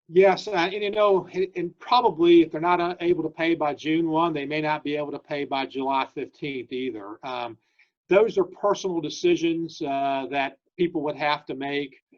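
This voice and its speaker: A man talks at a moderate pace with a fairly high pitch. His pitch variation is ordinary. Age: 60s. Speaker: state government official. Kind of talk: interview Q&A. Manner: halting with many fillers.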